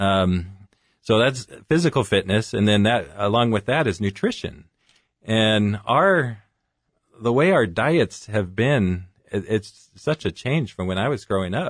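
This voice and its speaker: Against a quiet background, a man with an American accent speaks in a plain, everyday voice. His pitch is fairly low, his pace fairly slow and his intonation lively. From California (Fresno). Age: 40s. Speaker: physician. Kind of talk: radio interview.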